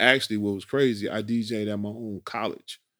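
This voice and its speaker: A man's voice at medium pitch. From Chicago, US. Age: 50s. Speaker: house music DJ. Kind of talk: casual interview.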